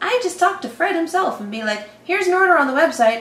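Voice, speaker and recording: In a room with audible echo, a woman speaks at a fairly quick pace. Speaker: reaction channel host. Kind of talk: casual sponsor read. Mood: playful, giggly. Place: home room. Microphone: camera far.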